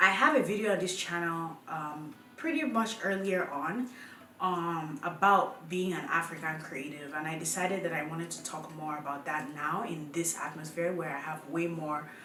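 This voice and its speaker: A woman's fairly low-pitched voice with ordinary pitch variation, audible room echo, and noticeable background noise. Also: moderate pace. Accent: Nigerian. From Nigeria. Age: 20s. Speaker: YouTuber. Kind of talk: casual talk to camera.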